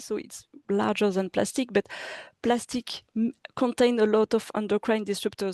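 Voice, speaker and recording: In a French accent, a dark, mellow tone comes at a moderate pace with a dry, close sound and no echo. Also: woman. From France. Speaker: city government official. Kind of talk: presentation. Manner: halting, many fillers and restarts.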